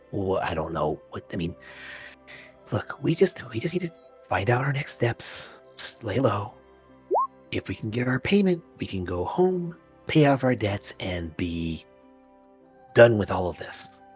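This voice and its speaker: A put-on character voice moves at a moderate pace with very wide pitch swings and long, frequent pauses. Faint music plays in the background. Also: man, medium pitch for a man. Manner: hushed.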